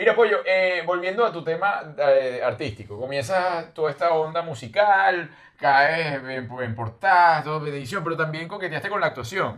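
A man with a fairly high voice speaks at a moderate pace with lively intonation and hardly any pauses, over noticeable background noise. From Venezuela, Valencia. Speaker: podcast host. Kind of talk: casual interview. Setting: studio.

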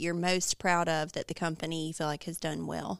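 A normal speaking voice from a woman, fairly low in pitch, at a fairly quick pace on a very clean recording with a silent background. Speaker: podcast host. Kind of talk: interview for company podcast.

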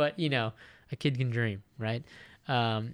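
On a very clean recording with a silent background, a man with an American accent and an unremarkable speaking voice talks at a moderate pace, with medium pitch and fairly even intonation. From Japan (Okinawa, US Navy family). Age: 20s. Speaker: podcast host and YouTuber. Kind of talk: casual solo monologue. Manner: many fillers and repeats, laughs often.

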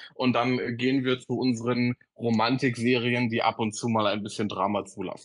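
Speaking at a moderate pace, a man with medium pitch keeps a monotone, flat intonation. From Berlin area. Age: 20s. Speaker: social media creator. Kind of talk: casual chat.

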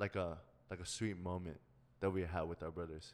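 The speaker is a man with a slight Korean accent. He talks at a moderate pace. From South Korea. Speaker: podcast co-host. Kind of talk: casual chat.

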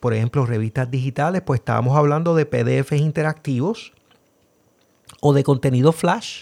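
A man with a Puerto Rican accent talks at a fairly quick pace. His fairly high voice has a dark, mellow tone and ordinary pitch variation. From Puerto Rico. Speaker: podcast host. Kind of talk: casual podcast intro and commentary, code-switching.

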